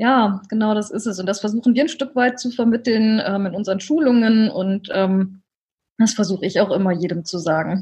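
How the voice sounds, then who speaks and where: Somewhat breathy and dark, mellow in tone, a woman's fairly high voice moves at a moderate pace with ordinary pitch variation. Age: 30s. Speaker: social media consultant, former civil servant. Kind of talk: interview. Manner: hesitant with frequent fillers.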